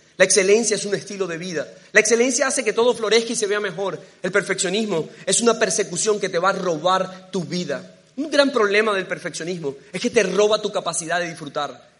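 Fairly quick delivery with ordinary pitch variation and noticeable background noise. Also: man, high pitch for a man. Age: 30s. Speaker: preacher. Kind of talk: sermon.

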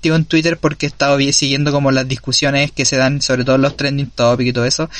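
With a Chilean accent, a man talks at a fairly high pitch for a man, keeping his intonation fairly even. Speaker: podcast host. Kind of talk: casual interview.

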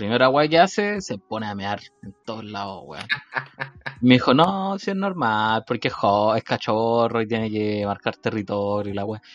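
A man speaks in a Chilean accent at a moderate pace. His intonation is lively, and his loudness swings widely. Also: medium pitch for a man. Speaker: podcast co-host. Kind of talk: casual chat.

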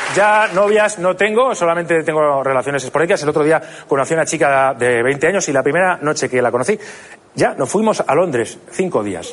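A fairly high-pitched male voice with lively intonation. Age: 30s. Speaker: comedian. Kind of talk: stand-up. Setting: stage with audience. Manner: halting.

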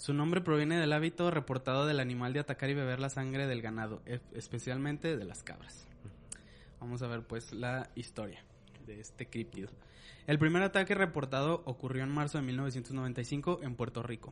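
At a moderate pace, a man with a Mexican accent talks in a medium pitch with ordinary pitch variation. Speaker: podcast co-host. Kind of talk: reading aloud; casual chat.

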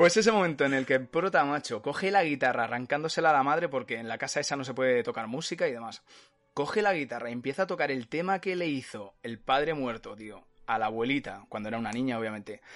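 With music in the background, a man speaks at a very fast pace and medium pitch, with lively intonation and hardly any pauses. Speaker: podcast host. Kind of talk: casual chat. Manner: animated.

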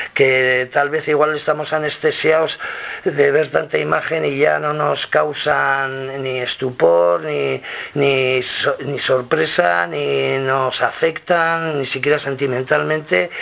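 Very slow speech from a man with a fairly high pitch and ordinary pitch variation, with noticeable background noise. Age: 50s. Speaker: rock musician. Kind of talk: interview. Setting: record label office. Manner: halting, many repetitions.

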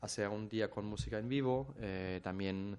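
In a German accent, a man speaks at a fairly low pitch. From Germany. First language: German (speaking Spanish). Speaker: chef. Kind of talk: casual interview. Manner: halting.

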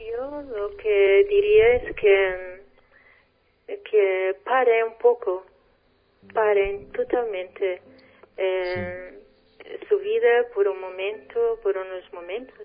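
Very slowly and with long, frequent pauses, a woman with a Portuguese accent talks at medium pitch with fairly even intonation, her loudness swinging widely. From Portugal. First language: Portuguese (speaking Spanish). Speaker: spiritual guest. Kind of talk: radio interview. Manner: halting.

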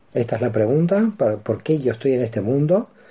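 Somewhat breathy delivery at a moderate pace, dark and mellow in tone, with very wide pitch swings. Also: man. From Argentina, Buenos Aires. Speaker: philosophy professor and author on Kabbalah. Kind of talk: radio interview. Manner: hesitant fillers and repetitions.

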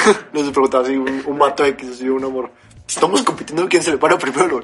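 This man talks very fast with a Mexican accent. His pitch is fairly high, and background noise is noticeable. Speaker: podcast co-host. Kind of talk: casual chat.

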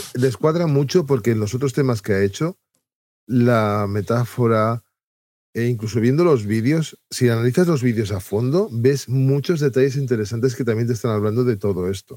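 This man has a dark, mellow tone at a medium pitch, with ordinary pitch variation. The recording is very clean, with a silent background. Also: moderate pace. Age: middle-aged. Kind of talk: casual chat.

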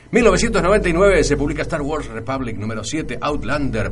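At a fairly slow pace, a man talks over noticeable background noise, with audible echo from the room. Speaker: radio host. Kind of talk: radio show.

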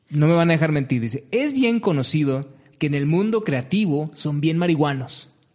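In a plain, everyday voice, a man talks at a moderate pace with a fairly high pitch and lively intonation. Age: 30s. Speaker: podcast co-host, digital creator. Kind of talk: casual chat.

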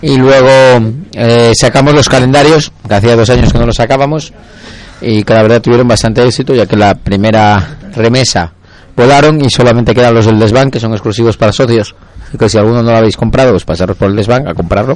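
A man talks at a fairly quick pace with a medium pitch and ordinary pitch variation. It is a plain, everyday voice. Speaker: football supporters' group radio host. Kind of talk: casual chat.

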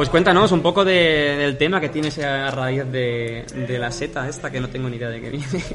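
Heard with audible room echo and noticeable background noise, a man with a fairly high voice talks at a moderate pace with ordinary pitch variation. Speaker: videogame podcast host. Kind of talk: casual chat.

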